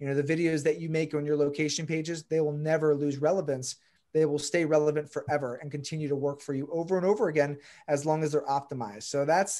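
A man with an American accent speaks in a normal speaking voice at a fairly high pitch over a quiet background. His pace is fairly quick and his intonation fairly even. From Baltimore, Maryland. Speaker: real estate broker and SEO coach. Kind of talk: casual interview chat.

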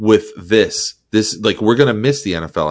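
With an unremarkable speaking voice, a man talks at a fairly quick pace, his fairly low pitch carried by lively intonation. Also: quiet background. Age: 30s. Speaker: podcast host. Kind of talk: casual chat.

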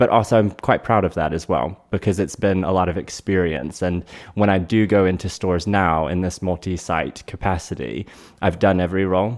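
Someone with an American accent speaks at a fairly quick pace with ordinary pitch variation, over a silent background in a very clean recording. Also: man, very deep, low pitch for a man. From North Carolina. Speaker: retail executive. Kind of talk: interview conversation. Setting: in person, Airstream trailer.

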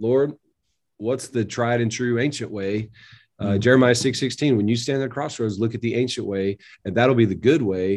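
Against a quiet background, a man with an unremarkable speaking voice talks at a moderate pace. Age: 40s. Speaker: pastor. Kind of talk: interview.

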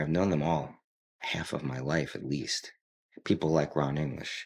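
A man with an American accent and vocal fry at a moderate pace. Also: very clean recording, silent background. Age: 50s. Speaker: art dealer and drummer. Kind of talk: casual chat.

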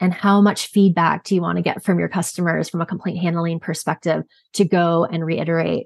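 A woman's ordinary speaking voice with a fairly low pitch, a fairly quick pace, fairly even intonation, and a dry, close sound with no echo. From Canada. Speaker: quality and regulatory consultant. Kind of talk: interview.

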